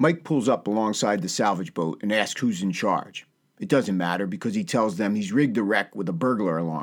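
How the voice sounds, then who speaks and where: A man with an American accent speaks in a fairly low, dramatic tone at a fairly quick pace. The recording is very clean, with a silent background. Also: lively intonation. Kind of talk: scripted podcast narration with news segment and dramatic recap of a TV episode. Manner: dramatic, storyteller-like recap with suspenseful, punchy pacing; warm, upbeat, friendly.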